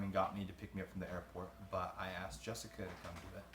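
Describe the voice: A man's fairly low-pitched voice, fairly bright in tone, at a fairly quick pace.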